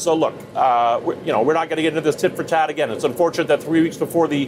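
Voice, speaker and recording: Talking at a very fast pace over noticeable background noise, a man speaks with a fairly high pitch. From Vermont. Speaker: campaign adviser. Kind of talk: live TV interview. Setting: outdoors.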